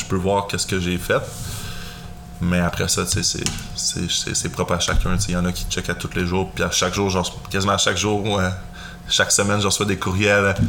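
A man with a Quebec accent speaks at a moderate pace and fairly low pitch, in monotone, flat intonation, over noticeable background noise. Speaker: financial advisor. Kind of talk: casual chat.

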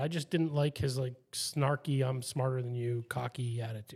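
Somewhat breathy, a man with a fairly high pitch talks at a fairly quick pace with hardly any pauses. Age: 30s. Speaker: podcast host. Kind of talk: casual chat.

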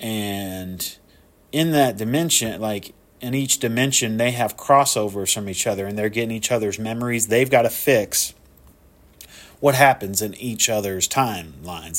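In a very clean recording with a silent background, a man speaks at a moderate pace and medium pitch with ordinary pitch variation. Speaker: solo podcast host reviewing movies. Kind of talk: casual monologue. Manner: halting, many fillers.

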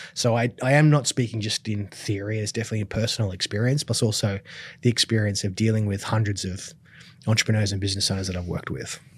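A man talks very fast in a fairly low, somewhat breathy voice with fairly even intonation. The recording is very clean, with a silent background. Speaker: business coach and filmmaker. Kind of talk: interview, explanatory talk.

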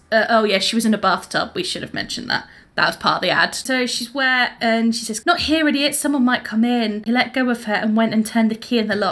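A woman talks in an unremarkable speaking voice at a fairly high pitch, with ordinary pitch variation. Her pace is fairly quick, with hardly any pauses. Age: 20s. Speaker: podcast co-host. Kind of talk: casual chat.

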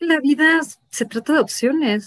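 The sound is dry and close, without any echo. A woman talks with lively intonation. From Mexico, Mexico City and Guadalajara. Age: 30s. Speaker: marketing director. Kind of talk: interview.

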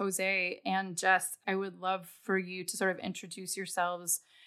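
Speaking at a moderate pace, a woman has a bright, sharp tone and a medium pitch. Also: very clean recording, silent background. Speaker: podcast host and artist. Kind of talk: interview conversation.

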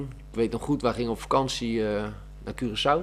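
Noticeable background noise beneath a man speaking with fairly even intonation. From Netherlands, South Holland (Oegstgeest area). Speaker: amateur footballer and gym teacher. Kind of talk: casual interview.

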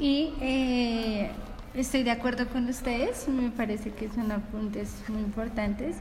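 A woman with a high-pitched voice speaks very slowly and fairly evenly, with noticeable background noise and audible room echo. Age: 20s. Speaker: university student. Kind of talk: casual chat.

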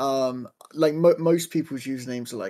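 At a moderate pace, a man with a southern English accent speaks at a medium pitch with ordinary pitch variation. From southern England, Southampton. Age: 20s. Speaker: speedrunner and full-time streamer. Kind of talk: casual interview chat. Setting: live stream interview, remote.

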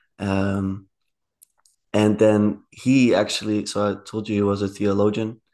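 A man with a Dutch accent, fairly low pitch, a dark, mellow tone, monotone, flat intonation and a fairly slow pace. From Netherlands, rural area. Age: 20s. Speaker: podcast guest. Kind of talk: casual interview conversation.

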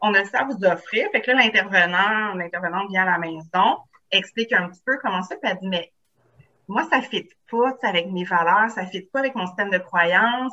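Moderate pace and medium pitch from a woman, ordinary pitch variation throughout. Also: big swings in loudness. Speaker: psychoeducator, author, trainer. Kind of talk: casual podcast interview.

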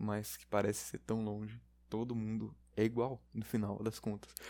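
Speaking at a fairly slow pace, a man with a fairly low pitch has a dark, mellow tone and monotone, flat intonation. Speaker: podcast host. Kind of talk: solo casual monologue. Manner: halting, many fillers.

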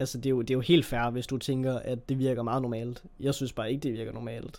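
A man speaks at a fairly quick pace in a dark, mellow tone with monotone, flat intonation. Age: 20s. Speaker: podcast host. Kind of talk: solo monologue podcast. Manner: halting, many fillers.

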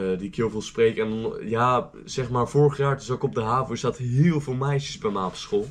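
A man with a normal speaking voice talks at a fairly slow pace with ordinary pitch variation. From Zeeland, Netherlands. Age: 19. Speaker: student teacher. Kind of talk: casual chat.

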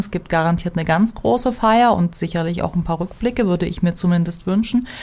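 A woman speaks at a fairly low pitch with ordinary pitch variation. It is a plain, everyday voice. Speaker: degree program director. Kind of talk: interview. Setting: studio.

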